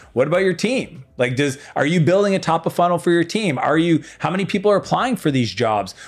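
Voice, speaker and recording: A high-pitched man's voice with lively intonation, a fairly quick pace, hardly any pauses and very even loudness. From Eastern Canada. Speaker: entrepreneur and business coach. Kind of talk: casual interview chat. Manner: animated.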